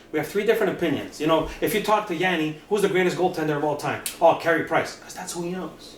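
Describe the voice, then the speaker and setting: A man with a high voice talks very fast and animatedly, hardly pausing, his loudness swinging widely over noticeable background noise. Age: 50s. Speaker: rock singer and hockey podcaster. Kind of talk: casual interview chat.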